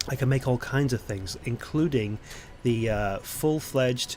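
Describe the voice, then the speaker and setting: A man is speaking. Music plays in the background. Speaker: gaming let's play creator. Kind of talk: gameplay commentary. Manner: hesitant, many fillers.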